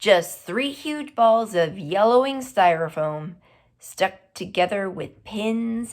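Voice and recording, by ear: Natural-voiced reading aloud. The intonation stays lively throughout.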